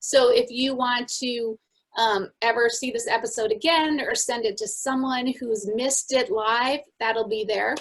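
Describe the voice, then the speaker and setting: A woman with an American accent, high-pitched, fairly slow and fairly even in intonation. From Minnesota. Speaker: podcast co-host. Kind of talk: casual chat.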